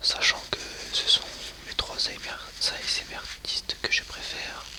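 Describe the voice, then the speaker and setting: Noticeable background noise sits under the audio. A man is whispering, very slowly. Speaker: ASMR content creator. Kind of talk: casual talk to camera, ASMR channel intro.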